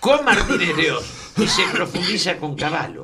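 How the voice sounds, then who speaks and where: Speaking with a Rioplatense accent, a man with a high pitch and very wide pitch swings talks at a fairly slow pace, with audible room echo and noticeable background noise. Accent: Rioplatense Spanish (porteño). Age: 70s. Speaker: radio talk show co-host. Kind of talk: political discussion on radio.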